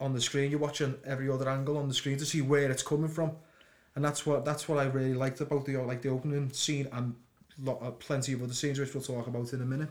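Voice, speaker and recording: With a Liverpool accent, a man speaks at a very fast pace in a fairly high pitch, his intonation monotone and flat. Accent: Liverpool (Scouse) English. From Liverpool, England. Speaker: podcast co-host. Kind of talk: casual chat. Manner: stuttering.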